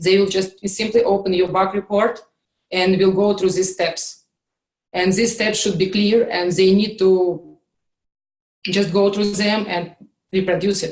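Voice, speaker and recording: Pausing long and often, a woman with a Russian accent speaks at a fairly slow pace in a medium pitch with monotone, flat intonation. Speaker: QA instructor. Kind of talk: online class session. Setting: video call with screen share. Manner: hesitant, many fillers.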